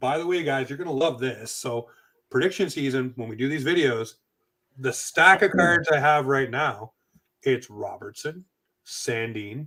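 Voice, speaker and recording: A man's fairly high, bright, sharp voice with a slight East Coast Canadian accent, at a moderate pace. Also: ordinary pitch variation. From Atlantic Canada. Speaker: sports podcast host. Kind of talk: casual chat. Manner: animated.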